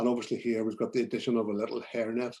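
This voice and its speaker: A man's medium-pitched voice with a dark, mellow tone, over a quiet background. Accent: Belfast. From Northern Ireland, Belfast. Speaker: portrait photographer. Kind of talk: presentation to photography club. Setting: video call. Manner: hesitant, many fillers.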